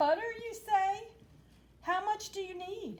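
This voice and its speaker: A put-on character voice, squeaky and warm in tone. It moves at a fairly slow pace with fairly even intonation. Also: woman, extremely high pitch for a woman. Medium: read story. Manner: warm, friendly.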